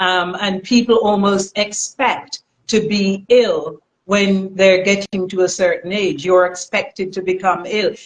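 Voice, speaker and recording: A woman's medium-pitched, normal speaking voice at a fairly slow pace, with fairly even intonation. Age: 60s. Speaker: natural health practitioner. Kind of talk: live stream interview. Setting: live stream.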